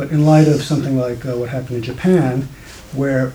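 A man at medium pitch, fairly quick and fairly even in intonation, over noticeable background noise. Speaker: audience member. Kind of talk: audience question.

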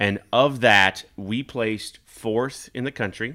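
A man with a Midwestern American accent has a medium-pitched voice with a bright, sharp tone. The recording is very clean, and the background is silent. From US Midwest, Kansas. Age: 40s. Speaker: staffing company executive and video show host. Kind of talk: casual chat.

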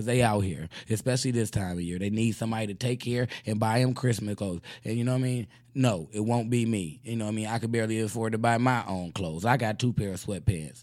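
A very fast pace and an animated tone. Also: man, medium pitch for a man, ordinary pitch variation. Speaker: radio host. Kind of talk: casual comedic chat with caller. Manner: animated, joking, laughs a lot.

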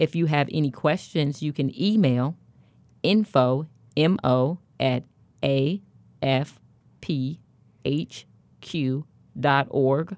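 Speaking very slowly with a Midwestern US accent, a woman has a very deep, low voice and ordinary pitch variation. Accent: US Midwest. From Kansas City, Kansas. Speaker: education advocate and event organizer. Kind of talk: radio interview with personal testimony. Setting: radio studio.

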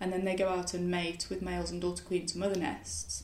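Speaking at a fairly quick pace, a woman uses a fairly low pitch. Room echo is audible, and background noise is noticeable. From West Midlands, England (Solihull, near Birmingham). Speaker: wildlife gardener and writer. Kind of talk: casual interview conversation. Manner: hesitant, many fillers and restarts.

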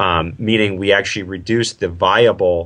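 An unremarkable speaking voice, with ordinary pitch variation. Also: man. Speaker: triathlon coach. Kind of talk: interview explanation.

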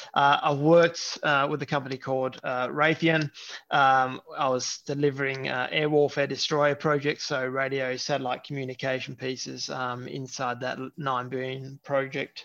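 A man with an Australian accent speaks at a moderate pace in a medium pitch, his intonation monotone and flat. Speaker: technology executive. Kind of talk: interview. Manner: halting, many fillers.

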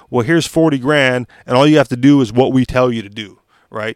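The recording is dry and close with no echo as a man delivers his words fairly quickly. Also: very clean recording, silent background. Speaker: podcast host. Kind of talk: solo news reading and commentary. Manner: ranting.

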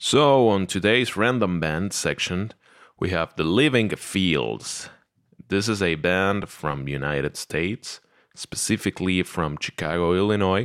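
A man's very deep, low voice with a non-native accent and lively intonation, dry and close with no echo. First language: not English. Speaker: podcast host and metal musician. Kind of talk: casual monologue. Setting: home recording, drinking beer.

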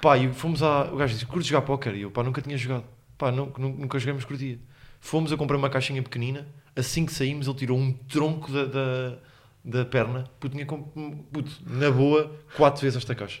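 A man talks at a fairly quick pace, sounding somewhat breathy. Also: medium pitch for a man. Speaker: podcast co-host, comedian. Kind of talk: casual chat. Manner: animated.

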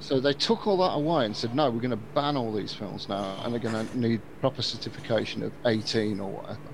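Speaking at a fairly quick pace with hardly any pauses, a man with a slight Birmingham accent uses a medium pitch and ordinary pitch variation. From Birmingham, England. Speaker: podcast host. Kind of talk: casual chat.

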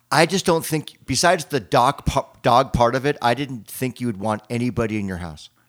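With hardly any pauses, a man in an ordinary speaking voice talks at a medium pitch with lively intonation, on a very clean recording with a silent background. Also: fairly quick pace. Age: 60s. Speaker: podcast co-host and musician. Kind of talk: casual chat.

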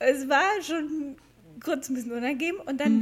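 The woman's voice is high-pitched, and her intonation is lively. She keeps a moderate pace. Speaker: podcast co-host. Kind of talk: casual chat. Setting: recording while lying down.

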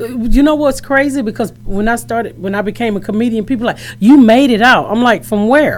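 Over noticeable background noise, a woman talks at a fairly quick pace in a fairly high voice, with ordinary pitch variation and hardly any pauses. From US South, Atlanta. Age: 40s. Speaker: comedian. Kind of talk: casual chat. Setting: studio.

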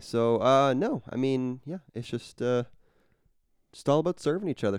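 A man with an ordinary speaking voice talks at a moderate pace, his pitch medium and his intonation lively. The background is quiet. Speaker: podcast co-host. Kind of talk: casual chat.

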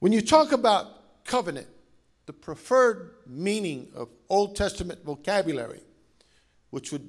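This is a man speaking with an American accent. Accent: Cajun Louisiana Southern US. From Louisiana. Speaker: pastor. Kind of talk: sermon. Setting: church. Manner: animated.

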